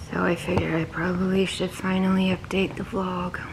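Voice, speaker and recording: A woman's monotone, flat intonation comes through noticeable background noise. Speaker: vlogger. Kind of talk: casual vlog chat. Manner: weak, sore-throated voice. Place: home room. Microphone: phone near.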